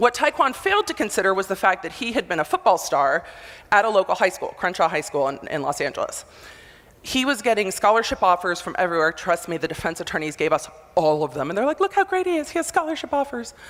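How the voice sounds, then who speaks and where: A woman talks loudly at a very fast pace and medium pitch. Her tone is animated, with very wide pitch swings. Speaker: motivational speaker, former prosecutor. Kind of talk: conference talk. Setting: stage with audience.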